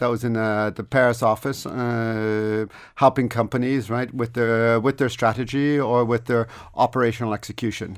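A man's medium-pitched voice at a moderate pace, fairly even in intonation, in a very clean recording with a silent background. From Canada. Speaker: business executive. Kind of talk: radio interview. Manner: hesitant, many fillers.

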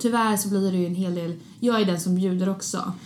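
A woman with a medium pitch and a dark, mellow, somewhat breathy tone speaks with ordinary pitch variation amid audible room echo. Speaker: podcast host. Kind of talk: casual chat. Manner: animated.

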